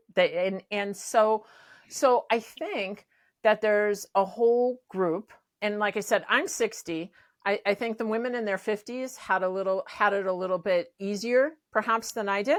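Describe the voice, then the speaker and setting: A moderate pace with ordinary pitch variation. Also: woman, fairly high pitch for a woman. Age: 60s. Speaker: pickleball coach. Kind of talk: casual chat. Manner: animated.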